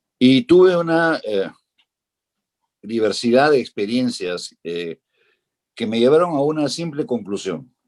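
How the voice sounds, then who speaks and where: A man talks at a fairly slow pace with very wide pitch swings and long, frequent pauses. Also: medium pitch for a man. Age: 60s. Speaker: politician. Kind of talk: political debate. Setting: virtual debate.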